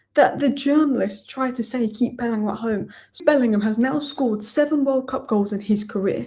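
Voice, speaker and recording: In a very clean recording with a silent background, a woman speaks at a fairly quick pace with a high pitch, a dark, mellow tone and lively intonation. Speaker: football YouTuber. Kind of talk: post-match reaction video. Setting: home at night. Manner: quiet, subdued.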